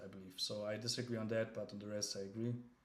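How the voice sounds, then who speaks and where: A man's fairly low, monotone voice comes through flat in intonation amid noticeable background noise. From Germany. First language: German. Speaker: crypto livestreamer. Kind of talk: casual livestream chat. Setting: livestream. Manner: halting, many fillers and restarts.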